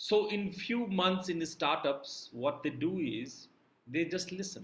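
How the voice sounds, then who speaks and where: Talking at a very slow pace, a man uses a high pitch and lively intonation. Audible room echo surrounds his voice. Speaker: yoga teacher. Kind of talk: lecture.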